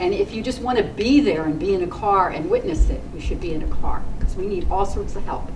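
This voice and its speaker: Over noticeable background noise and audible room echo, a woman speaks at a fairly quick pace. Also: hardly any pauses. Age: 60s. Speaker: community activist. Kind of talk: rally speech. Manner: animated.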